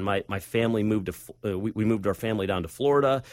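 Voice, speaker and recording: On a very clean recording with a silent background, a man with a medium pitch speaks at a very fast pace. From US Midwest, Northeast Ohio. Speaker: leadership consultant. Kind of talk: interview; testimony. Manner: halting.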